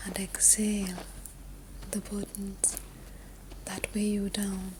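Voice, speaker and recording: Very slowly, a woman whispers over noticeable background noise. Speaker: meditation guide. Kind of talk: sleep meditation. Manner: whispered; soft-spoken, slow.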